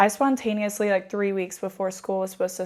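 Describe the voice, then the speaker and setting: This woman has an American accent and a medium pitch. Her intonation is fairly even, on a very clean recording with a silent background. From northwest Ohio, US Midwest. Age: 20s. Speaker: small business owner. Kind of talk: casual podcast interview.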